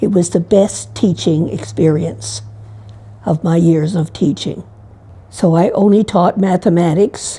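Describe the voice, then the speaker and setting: A woman with a Canadian accent speaks at a fairly slow pace in a fairly low, dark, mellow tone with vocal fry. Her pitch swings very widely while her loudness stays very even. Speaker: nun, retired teacher and massage therapist. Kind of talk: interview testimony. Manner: halting, with fillers.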